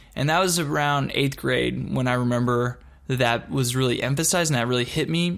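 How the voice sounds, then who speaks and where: With an American accent and a plain, everyday voice, a man speaks at a moderate pace and medium pitch. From Texas (Dallas-Fort Worth) and Michigan. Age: 30s. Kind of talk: personal testimony. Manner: casual, conversational with fillers.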